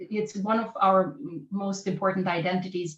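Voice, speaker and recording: The voice belongs to a woman with a medium pitch. It sounds somewhat breathy. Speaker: professor and scientist. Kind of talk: workshop presentation. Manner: halting, repeats words.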